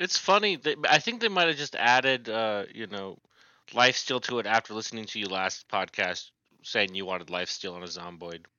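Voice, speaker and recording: At a moderate pace, a normal speaking voice moves with lively intonation and big swings in loudness. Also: man, medium pitch for a man. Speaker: podcast host. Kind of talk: casual chat.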